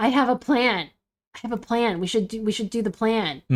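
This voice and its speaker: A woman puts on a character voice at a fairly high pitch. She mumbles along at a fairly quick pace. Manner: anxious, fast, mumbling.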